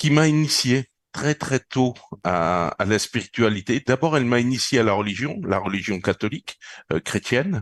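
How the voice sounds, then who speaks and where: A man talks at a medium pitch and a moderate pace with very even loudness, the sound dry and close with no echo against a quiet background. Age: 60s. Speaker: retired police officer and energy healer. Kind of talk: interview. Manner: halting, many repetitions and fillers.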